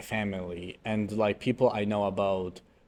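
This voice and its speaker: A man speaks with a Polish accent at a fairly low pitch. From Poland. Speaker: podcast co-host. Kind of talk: casual chat. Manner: halting.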